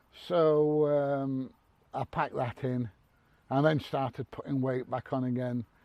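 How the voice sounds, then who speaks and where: A man's dark, mellow voice, fairly high in pitch, at a very slow pace with ordinary pitch variation. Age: 60s. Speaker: army veteran. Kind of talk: casual talk to camera.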